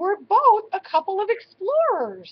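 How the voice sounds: A woman's put-on character voice, extremely high-pitched, with very wide pitch swings and a fairly slow pace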